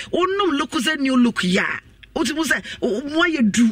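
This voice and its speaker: The pace of this man's speech is moderate. Lively intonation runs through it. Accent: Ghanaian. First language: Twi. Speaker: radio announcer. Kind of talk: radio advertisement.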